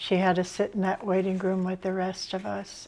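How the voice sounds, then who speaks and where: An American accent on a very clean recording against a silent background. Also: woman. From US Midwest, Indiana. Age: 70s. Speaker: patient interviewee. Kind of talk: interview.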